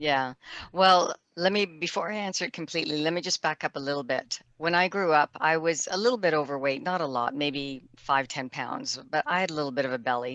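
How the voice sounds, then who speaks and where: A woman talks at a fairly quick pace with lively intonation. Her voice is very deep and low, and the background is quiet. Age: 60s. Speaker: near-death survivor sharing her story. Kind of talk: interview testimony. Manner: halting, self-correcting.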